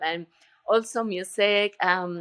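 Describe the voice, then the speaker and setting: A woman speaks with a Colombian accent. The sound is dry and close, with no echo. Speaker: retreat center owner and yoga teacher. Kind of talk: interview conversation. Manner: halting, with filler words.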